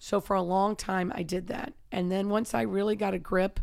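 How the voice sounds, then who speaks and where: A woman talks at a moderate pace in a normal speaking voice, her fairly low pitch showing ordinary pitch variation. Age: 50s. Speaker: wrestling and MMA coach. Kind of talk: casual chat.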